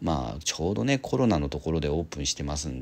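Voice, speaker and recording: Vocal fry runs through the voice. The speaker is a man. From Japan, Kawasaki. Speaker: aquarium and pet YouTuber. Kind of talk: casual vlog narration.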